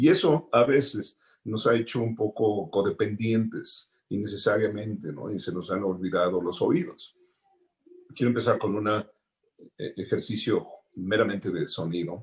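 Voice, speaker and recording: A man talks at a fairly slow pace with lively intonation. His voice is somewhat breathy and fairly low in pitch. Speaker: sound designer. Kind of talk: panel talk.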